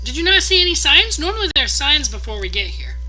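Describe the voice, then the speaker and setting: A put-on character voice races at a very fast pace. Clear music plays in the background. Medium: actual play. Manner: cheery, upbeat.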